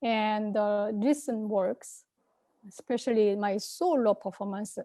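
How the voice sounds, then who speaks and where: In a Korean accent, a woman speaks fairly slowly with a fairly high pitch, a dark, mellow tone and fairly even intonation, recorded very cleanly against a silent background with a dry, close sound and no echo. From South Korea. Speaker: composer and komungo performer. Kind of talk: conference presentation. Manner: halting, many fillers.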